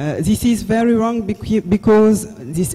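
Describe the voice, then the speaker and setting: With a Senegalese accent, a man speaks at a fairly slow pace with ordinary pitch variation. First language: French. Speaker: neurologist professor. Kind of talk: conference talk. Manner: halting, with hesitations.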